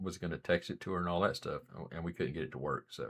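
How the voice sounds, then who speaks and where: Here a man talks in an Appalachian accent. He goes at a very fast pace. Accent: Southern US (Appalachian). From US South, western North Carolina mountains. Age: 40s. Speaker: live streamer, former Marine. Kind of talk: live stream chat. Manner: soft-spoken; casual, halting.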